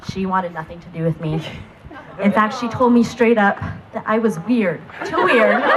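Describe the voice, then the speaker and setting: With noticeable background noise, the speaker goes at a moderate pace with lively intonation, big swings in loudness, and long, frequent pauses. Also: woman, medium pitch for a woman. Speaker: maid of honor. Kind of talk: wedding speech.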